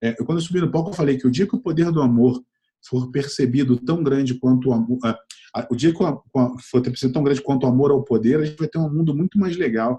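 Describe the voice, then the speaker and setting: At a very fast pace, a man with a Rio de Janeiro accent talks in a somewhat breathy, dark, mellow tone, his fairly high pitch showing ordinary pitch variation. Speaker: entrepreneur and innovation mentor. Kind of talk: interview. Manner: hesitant, many fillers and repetitions.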